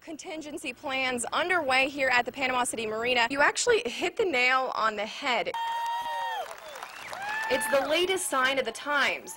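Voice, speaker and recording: Raising and projecting her voice over crowd noise, a woman with an American accent speaks at a moderate pace, high in pitch with lively intonation. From United States. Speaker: TV news reporter and anchor. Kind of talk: TV news report.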